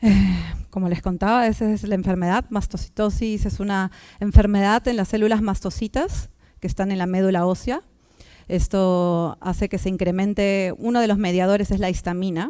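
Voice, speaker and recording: A woman with a dark, mellow tone and medium pitch speaks at a moderate pace with fairly even intonation. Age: 30s. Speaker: communicator and activist. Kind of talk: public talk. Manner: halting.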